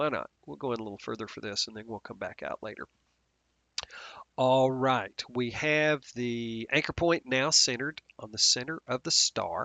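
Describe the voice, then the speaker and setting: A man with a plain, everyday voice, medium pitch, ordinary pitch variation, moderate pace and big swings in loudness. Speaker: software instructor. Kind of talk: tutorial. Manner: casual, with fillers.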